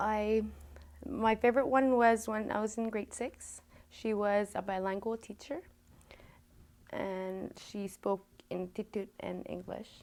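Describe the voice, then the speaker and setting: With a Canadian Arctic accent, a woman speaks at a fairly slow pace with fairly even intonation and long, frequent pauses. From Nunavut, Canada (Pangnirtung). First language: Inuktitut. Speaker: student. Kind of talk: interview. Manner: halting.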